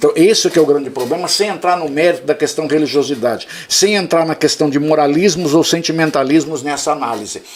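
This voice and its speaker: Over noticeable background noise, a man talks at a fairly quick pace in an animated tone. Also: fairly high pitch for a man, ordinary pitch variation. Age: 60s. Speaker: history teacher. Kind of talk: casual debate.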